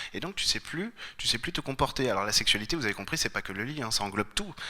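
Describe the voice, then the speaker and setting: A man talks very fast, his intonation lively. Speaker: clairvoyant therapist giving a conference talk. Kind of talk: conference talk. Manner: hesitant, many fillers.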